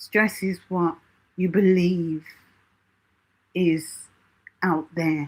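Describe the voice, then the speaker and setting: A woman speaks very slowly at a fairly low pitch. Her intonation stays fairly even. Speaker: self-help channel host. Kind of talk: live stream Q&A talk.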